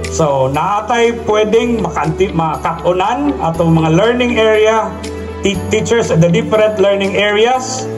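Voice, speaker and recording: Over clear background music, a man talks at a high pitch with ordinary pitch variation. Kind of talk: speech. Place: stage. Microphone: handheld.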